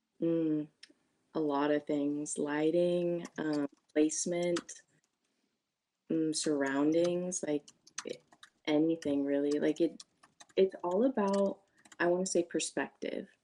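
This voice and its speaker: A woman's fairly low, dark, mellow voice with a Californian accent, very slow and full of long, frequent pauses. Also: fairly even intonation. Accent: Californian American English. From US West Coast, California Bay Area. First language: Spanish. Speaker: job candidate, college student. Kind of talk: job interview. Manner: casual, many filler words.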